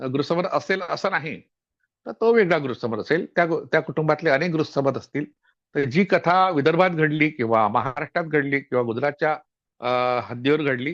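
With ordinary pitch variation, this is a normal speaking voice. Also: man, fairly high pitch for a man. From Vidarbha, Maharashtra (Yavatmal district). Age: 60s. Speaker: historian and author. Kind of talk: lecture-style book introduction.

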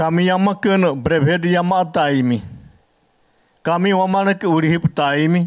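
A man talks at a high pitch and moderate pace with fairly even intonation. Long, frequent pauses break up his speech against a quiet background. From Brazilian Amazon. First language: Yanomami. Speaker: panelist. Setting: stage with audience. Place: meeting room. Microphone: podium.

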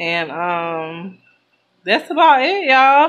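The pace here is very slow. The speaker is a woman. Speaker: mother vlogger. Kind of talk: casual vlog chat. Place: home room. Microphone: phone near.

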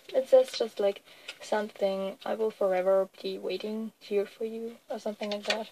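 A woman's fairly high, monotone, flat voice at a moderate pace over noticeable background noise. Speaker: k-pop fan vlogger. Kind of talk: casual haul video. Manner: hesitant, many fillers.

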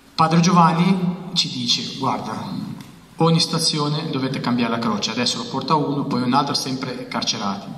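With audible room echo, a man speaks at a moderate pace and fairly high pitch, his intonation lively. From Albania. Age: 30s. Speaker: author; guest. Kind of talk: testimony. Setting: stage with audience. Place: hall. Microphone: handheld.

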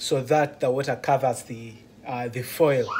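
There is light background noise as a man talks at a moderate pace. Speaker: truck driver vlogger. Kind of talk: casual vlog tutorial. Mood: curious, slightly nervous. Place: kitchen. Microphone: phone near.

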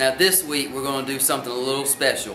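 Light background noise and audible room echo around a man speaking. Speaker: wrestling show host. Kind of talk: wrestling news update to camera. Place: hall. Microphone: camera far.

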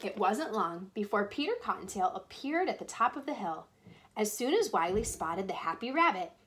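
The voice heard here is a natural reading voice.

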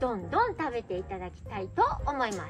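A woman's voice with faint music in the background. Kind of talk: casual vlog chat. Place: tent.

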